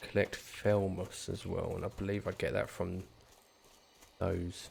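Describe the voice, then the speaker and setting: A man with a British accent, fairly low in pitch, speaking at a fairly slow pace in a monotone with flat intonation. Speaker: gaming youtuber. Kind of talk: gameplay commentary. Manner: casual, with fillers.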